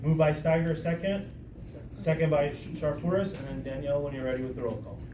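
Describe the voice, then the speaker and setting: A very fast delivery with ordinary pitch variation and audible room echo. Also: man, fairly high pitch for a man. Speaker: community planning group chair. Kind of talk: public meeting chairing. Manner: loud; formal.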